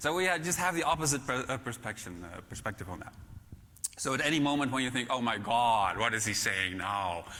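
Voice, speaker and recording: A man with a bright, sharp tone and medium pitch speaks fairly quickly with lively intonation, and audible room echo can be heard. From Netherlands. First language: Dutch. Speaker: keynote speaker, author on management. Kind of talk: conference keynote. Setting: stage with audience. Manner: halting, many fillers.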